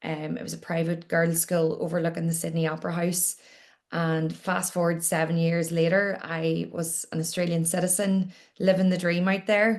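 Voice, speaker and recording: Speaking at a moderate pace in a Northern Irish accent, a woman uses a fairly low pitch and fairly even intonation. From Northern Ireland, Newcastle, County Down. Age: 30s. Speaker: entrepreneur and podcaster. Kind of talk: interview.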